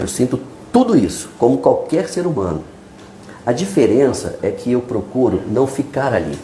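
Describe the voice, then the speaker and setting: At a moderate pace, a man with a Brazilian accent makes very wide pitch swings, with noticeable background noise behind him. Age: 60s. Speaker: journalist, newspaper founder. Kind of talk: podcast interview.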